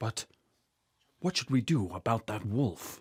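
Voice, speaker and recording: A man puts on a character voice at a medium pitch with lively intonation, recorded dry and close with no echo. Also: fairly slow pace. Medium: audio drama. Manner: earnest, protective.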